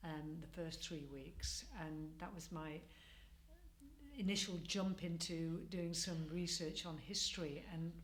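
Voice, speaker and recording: A woman with a Mancunian accent at a fairly low pitch, speaking fairly slowly with audible room echo. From Manchester, northern England. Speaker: community project participant. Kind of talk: interview. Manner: hesitant, many fillers.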